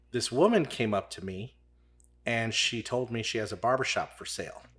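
This man has an unremarkable speaking voice with an American accent and a medium pitch. He talks at a moderate pace with ordinary pitch variation. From St. Charles County, Missouri. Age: 40s. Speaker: barber, barbershop owner. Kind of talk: casual interview chat. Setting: studio.

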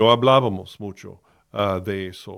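This is a man talking at a moderate pace. His voice is fairly low in pitch. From US, Miami, Florida. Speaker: pastor and podcast host. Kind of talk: personal testimony. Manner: halting, many fillers.

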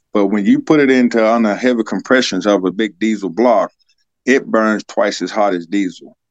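In a Southern US accent, a man with a fairly low pitch speaks with ordinary pitch variation, the sound dry and close with no echo. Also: moderate pace. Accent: Southern US (Georgia). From US South, Georgia. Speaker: fleet manager, army veteran mechanic. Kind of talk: casual interview.

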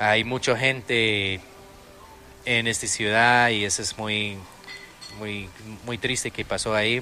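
A man speaks at a very slow pace in a monotone, flat intonation. Long, frequent pauses break up his speech. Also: fairly low pitch for a man. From Austin, Texas. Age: 30s. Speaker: restaurant owner and entrepreneur. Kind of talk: interview. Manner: halting.

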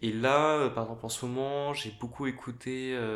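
Audible room echo surrounds a voice held in a monotone, flat intonation. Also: man. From Paris, France. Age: 30s. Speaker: pianist. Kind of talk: casual interview.

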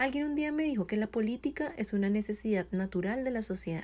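Very clean audio plays against total silence behind it. The voice has a dark, mellow quality. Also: woman. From Colombia. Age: 20s. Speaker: podcast host. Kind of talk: solo monologue, motivational talk.

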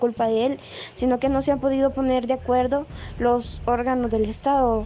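With a high pitch, a woman talks at a fairly slow pace. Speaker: poet. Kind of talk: casual chat.

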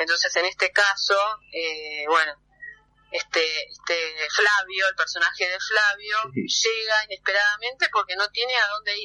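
This woman talks at a moderate pace with medium pitch and ordinary pitch variation. Her voice is dry and close, with no echo. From Argentina, Buenos Aires area (Temperley). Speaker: theatre director. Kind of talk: phone interview. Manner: hesitant, many fillers.

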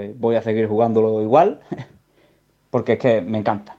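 A man speaks at a medium pitch and a fairly quick pace. His tone is dark and mellow. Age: 30s. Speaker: listener sending audio message. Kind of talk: voice message.

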